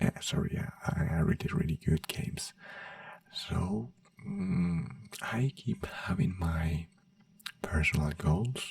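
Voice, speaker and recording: Speech comes at a very slow pace with long, frequent pauses, over noticeable background noise. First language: not English. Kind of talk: ASMR soft-spoken ramble. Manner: soft-spoken.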